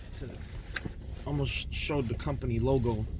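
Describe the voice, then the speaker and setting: A man with an American accent speaks in an animated tone. Audible room echo and noticeable background noise are present. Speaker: YouTuber. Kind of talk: casual vlog monologue. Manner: animated, slangy.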